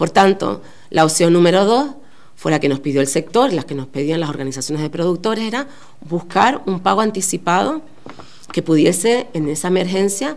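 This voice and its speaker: A woman's fairly low voice at a moderate pace, with very wide pitch swings and audible room echo. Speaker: politician. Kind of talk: press conference statement. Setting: press conference.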